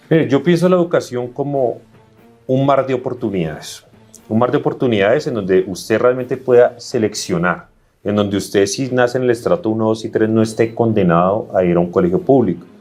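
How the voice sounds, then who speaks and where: Over music in the background, a man talks at a fairly quick pace and medium pitch with lively intonation. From Colombia, Bogotá. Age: 30s. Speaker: political candidate. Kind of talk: interview.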